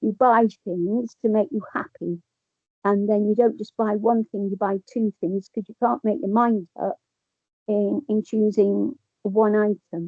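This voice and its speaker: This woman has an English accent and a fairly high pitch. She speaks at a fairly slow pace with ordinary pitch variation. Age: 70s. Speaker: person with lived experience. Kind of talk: testimony. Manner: halting.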